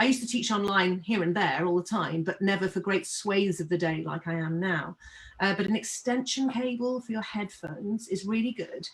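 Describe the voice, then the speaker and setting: Over noticeable background noise, a woman with a medium-pitched voice speaks at a fairly quick pace with lively intonation. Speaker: webinar host and string teacher. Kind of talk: webinar discussion. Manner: loud.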